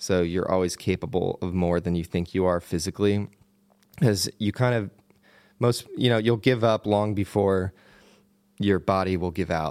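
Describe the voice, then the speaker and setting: A man with a Pennsylvania accent, very deep and low in pitch, relaxed in tone with fairly even intonation, at a moderate pace broken by long, frequent pauses. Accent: Pennsylvania American. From Pennsylvania, US. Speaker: cinematographer and adventurer. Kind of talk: casual interview chat. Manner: relaxed, friendly, laughs often.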